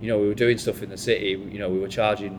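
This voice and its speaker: Speaking with a Lancashire accent, a man keeps a fairly low pitch and a monotone, flat intonation. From Bolton, northern England. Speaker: bar manager. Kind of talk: panel conversation. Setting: live event with audience.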